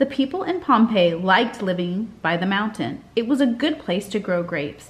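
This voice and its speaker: Lively intonation marks this woman's speech. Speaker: teacher. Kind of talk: reading aloud to children. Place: home room. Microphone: webcam.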